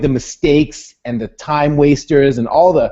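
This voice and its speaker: A man speaks in a dark, mellow tone at a fairly high pitch, with ordinary pitch variation. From western Canada. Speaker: online business vlogger. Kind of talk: casual video call chat. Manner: fast.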